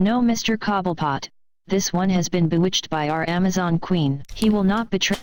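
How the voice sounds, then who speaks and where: Someone performs a put-on character voice at a middle pitch and a moderate pace. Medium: read story. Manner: imperious, cold.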